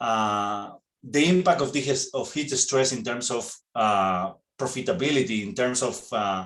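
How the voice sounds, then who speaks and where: A man speaks at medium pitch and a fairly slow pace, with a Spanish accent. His intonation is lively. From Spain. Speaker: veterinarian. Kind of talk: webinar presentation. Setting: online webinar. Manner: halting non-native phrasing.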